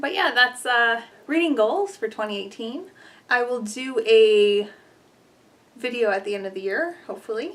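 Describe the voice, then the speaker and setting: A fairly high-pitched woman at a moderate pace, lively in intonation, with long, frequent pauses. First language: Polish. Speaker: booktuber. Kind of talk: casual vlog talk. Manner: casual, filler-heavy.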